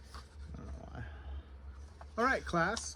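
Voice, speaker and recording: Soft-spoken yet bright and sharp in tone, a man with a very deep, low pitch and vocal fry speaks at a moderate pace with very wide pitch swings and audible room echo. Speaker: book reviewer. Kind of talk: casual vlog, book haul. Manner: hesitant, filler words.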